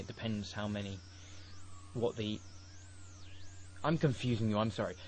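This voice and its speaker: Fairly low, somewhat breathy male voice with fairly even intonation. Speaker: software tutorial maker. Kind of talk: tutorial. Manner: halting.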